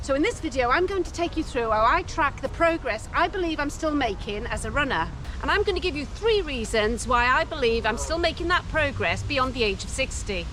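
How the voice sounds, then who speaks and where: A woman speaks with an English accent in a high voice, her pitch swinging very widely. She hardly pauses, and there is noticeable background noise. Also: fairly quick pace. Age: 60s. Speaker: running coach. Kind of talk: scripted narration.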